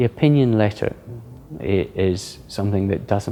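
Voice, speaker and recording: Speaking with a Scottish accent, a man has a dark, mellow tone and fairly low pitch. He keeps a moderate pace. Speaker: senior lawyer. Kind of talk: interview. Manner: halting, with repeated words.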